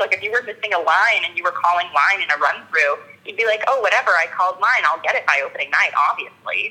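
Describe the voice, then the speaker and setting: Noticeable background noise runs behind this recording. A woman with an American accent talks at a fairly quick pace. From US West Coast, Los Angeles. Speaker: actor and violinist. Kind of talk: interview.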